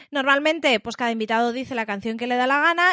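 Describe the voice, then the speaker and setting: A woman's high-pitched voice in an animated tone, with ordinary pitch variation, over a quiet background. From Spain. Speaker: podcast host. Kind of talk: casual chat.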